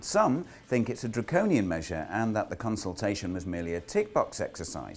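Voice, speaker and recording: Over a silent background in a very clean recording, a man talks fairly quickly with vocal fry and very wide pitch swings. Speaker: property news presenter. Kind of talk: news presenter script read.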